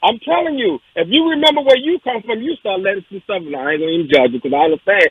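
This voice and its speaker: A man's animated, very fast delivery with very wide pitch swings. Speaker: radio talk show co-host. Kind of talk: casual talk radio discussion.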